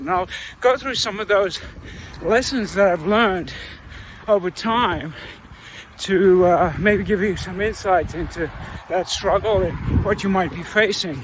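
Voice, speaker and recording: Noticeable background noise sits behind a man with a high pitch. He talks at a fairly slow pace with ordinary pitch variation. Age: 60s. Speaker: amateur ultramarathon runner, video blogger. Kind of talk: casual monologue to camera. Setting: recorded outdoors while running. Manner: hesitant, many filler uhs.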